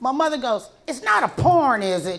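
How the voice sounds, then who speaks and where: With an American accent, a woman speaks in a high pitch with lively intonation amid noticeable background noise. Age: 60s. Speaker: comedian. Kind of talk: stand-up. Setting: stage with audience.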